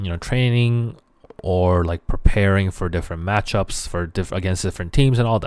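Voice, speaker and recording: In a Korean accent, a man speaks with a fairly low pitch. The recording is very clean, with a silent background. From South Korea, moved to Canada young. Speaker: esports podcast host and content creator. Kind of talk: solo podcast monologue. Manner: casual, filler-heavy.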